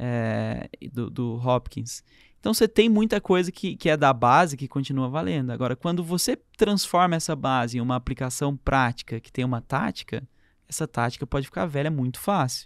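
A man with a normal speaking voice at medium pitch and moderate pace, dry and close with no echo, on a very clean recording with a silent background. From interior of São Paulo state, Brazil. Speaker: entrepreneur and author. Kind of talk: casual interview chat.

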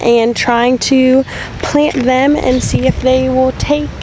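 A woman speaks at a fairly slow pace with fairly even intonation, and background noise is clearly audible.

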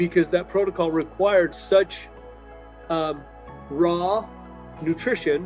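Faint music plays behind a man who speaks very slowly at a high pitch with fairly even intonation. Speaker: chiropractor guest. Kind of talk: interview answer. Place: home room. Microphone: video call.

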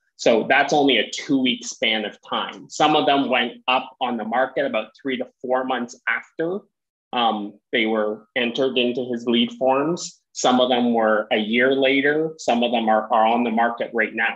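Over a quiet background, a man speaks at a moderate pace with hardly any pauses and fairly even intonation. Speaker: webinar host. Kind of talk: group discussion. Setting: video call. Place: office. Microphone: earbuds.

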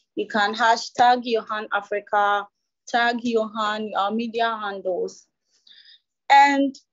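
The intonation is fairly even. The background is quiet. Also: woman. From Ghana. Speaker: webinar moderator. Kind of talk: moderating a webinar. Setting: video call. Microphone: video call.

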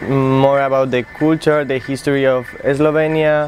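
Over light background noise, a man talks very slowly in a flat monotone. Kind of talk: interview answer. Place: street. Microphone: lapel.

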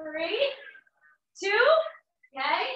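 The voice is raised and projected, bright and sharp in tone, with audible room echo. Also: woman. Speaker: fitness instructor. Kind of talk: workout class cueing. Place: home room. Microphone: camera far.

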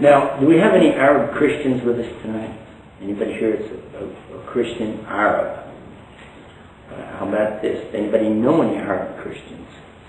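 A man in a Texan accent speaks at a fairly quick pace with big swings in loudness and ordinary pitch variation, with audible room echo and light background noise. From Texas. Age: 60s. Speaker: Islamic preacher. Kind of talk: lecture. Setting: stage with audience. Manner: humorous. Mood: friendly, smiling. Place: hall.

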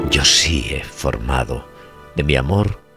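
Music plays behind a man with a very deep, low pitch. His pitch varies in an ordinary way. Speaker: poetry reciter. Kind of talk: poetry reading.

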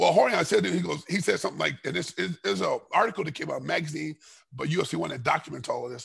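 A man talking at a very fast pace with an American accent against a quiet background. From Los Angeles, California. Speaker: martial artist and former MMA fighter; podcast guest. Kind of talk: casual interview chat. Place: kitchen. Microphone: headset.

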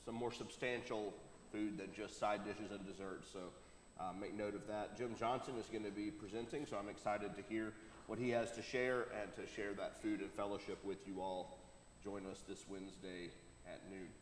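Light background noise and audible room echo surround a man speaking in a fairly low pitch. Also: fairly even intonation, moderate pace. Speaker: pastor. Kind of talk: church announcements. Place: church.

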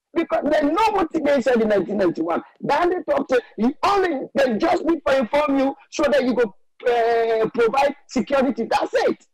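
A man with a Sierra Leonean accent speaks at a moderate pace in an extremely high voice that swings very widely in pitch, recorded with a dry, close sound and no echo. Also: very even loudness. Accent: Sierra Leonean Krio-inflected English. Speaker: caller. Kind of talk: call-in commentary. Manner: animated.

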